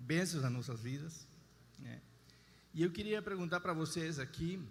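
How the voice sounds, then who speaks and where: A man with an Argentine accent speaks at a fairly high pitch. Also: ordinary pitch variation. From Argentina. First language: Spanish (speaking Portuguese). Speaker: husband giving testimony. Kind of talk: testimony.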